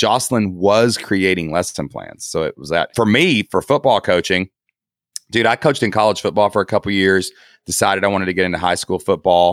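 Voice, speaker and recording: With an Appalachian accent, a man talks at a fairly low pitch and a fairly quick pace, with ordinary pitch variation. The sound is dry and close with no echo. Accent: Appalachian Southern US. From southeast Kentucky. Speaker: online entrepreneur, former teacher. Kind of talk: casual interview. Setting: video call from guest bedroom.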